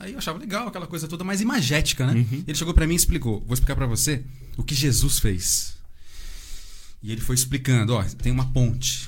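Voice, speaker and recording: A man's fairly quick speech at a medium pitch, with vocal fry, very wide pitch swings and audible room echo. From Santa Isabel, São Paulo state, Brazil. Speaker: construction worker, churchgoer. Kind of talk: casual chat.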